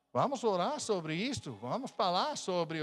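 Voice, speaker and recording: Speaking at a moderate pace with an American accent, a man uses a high pitch and very wide pitch swings on a very clean recording with a silent background. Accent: non-native Portuguese, American. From United States. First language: English (speaking Portuguese). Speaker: missionary pastor. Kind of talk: sermon. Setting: church. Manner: halting.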